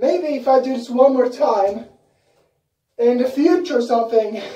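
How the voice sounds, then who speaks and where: In a room with audible echo but a quiet background, a woman with a high pitch and a dark, mellow tone speaks at a fairly slow pace with ordinary pitch variation. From Sweden. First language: Swedish. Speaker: YouTuber. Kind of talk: casual vlog. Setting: bathroom. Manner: animated. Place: bathroom. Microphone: camera far.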